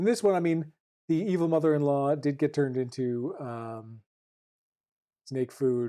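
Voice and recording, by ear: A woman speaks at a fairly slow pace with a low pitch, a dark, mellow tone and ordinary pitch variation, on a very clean recording with a silent background.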